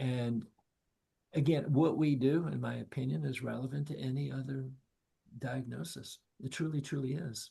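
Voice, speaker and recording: Speaking in an American accent, a man with a medium pitch and a dark, mellow, somewhat breathy tone keeps a moderate pace with ordinary pitch variation and long, frequent pauses. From US South. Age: 70s. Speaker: nonprofit leader for ALS caregiving. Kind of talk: casual talk.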